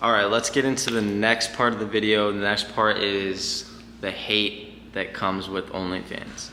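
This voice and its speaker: Through audible room echo and noticeable background noise, a man speaks in a fairly low pitch with fairly even intonation. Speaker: online business owner, YouTuber. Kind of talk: casual vlog explainer. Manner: fast; casual, filler-heavy.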